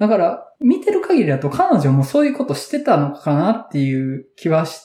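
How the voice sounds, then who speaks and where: A man speaks with a Kansai accent. He talks with hardly any pauses. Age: 30s. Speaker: podcast host and moderator. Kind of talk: casual chat.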